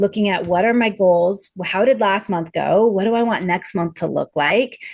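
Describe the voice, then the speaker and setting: A woman talks at a moderate pace with medium pitch and ordinary pitch variation. The background is quiet. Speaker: business strategist. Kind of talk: podcast interview. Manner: animated.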